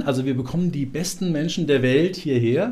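A man's somewhat breathy voice, fairly high in pitch, with a dark, mellow tone. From Central Hesse, Germany (Marburg). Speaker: business development agency director. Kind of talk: interview. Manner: animated.

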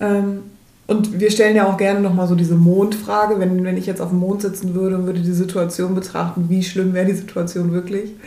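Over audible room echo, a woman with a medium pitch and a dark, mellow tone speaks at a fairly quick pace in a monotone, flat intonation. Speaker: nurse coach and podcast co-host. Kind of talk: casual chat. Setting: kitchen table in a rented holiday home. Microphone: one shared mic clipped to a magazine, laptop.

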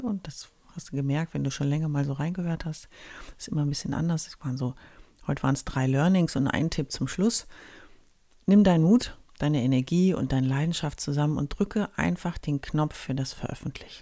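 Recorded very cleanly against a silent background, a woman with a very deep, low pitch and a dark, mellow tone talks at a fairly quick pace with lively intonation. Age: 40s. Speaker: startup consultant and podcast host. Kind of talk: solo podcast monologue. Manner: animated.

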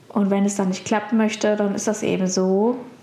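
A woman speaks at a medium pitch. Noticeable background noise and audible room echo are in the recording. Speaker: podcast host, virtual assistant. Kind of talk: solo podcast monologue. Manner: hesitant, many filler sounds. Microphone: poorer sound quality this episode.

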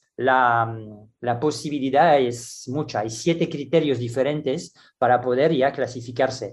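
Over a quiet background, a man speaks at a medium pitch and a fairly slow pace. His intonation is fairly even. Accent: French. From France. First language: French (speaking Spanish). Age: 60s. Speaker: gymnastics coach. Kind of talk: interview. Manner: halting, with many restarts and fillers.

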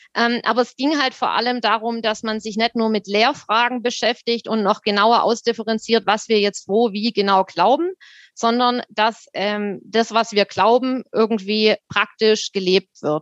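Fairly slow speech in a Swabian accent, hardly any pauses, fairly even intonation, and a dry, close sound with no echo. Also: woman, fairly high pitch for a woman. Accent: Swabian, audible. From Württemberg, Rems-Murr district near Stuttgart. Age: 30s. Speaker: theologian working in education equity. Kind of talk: casual conversation.

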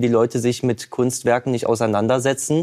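Talking at a moderate pace in a normal speaking voice, a man holds a medium pitch and fairly even intonation. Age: 20s. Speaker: painter. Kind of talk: talk show interview.

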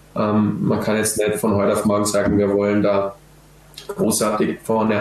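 This voice belongs to a man. Behind him, there is noticeable background noise. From Austria, Vorarlberg. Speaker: professional footballer. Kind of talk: podcast interview. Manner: hesitant, many filler sounds.

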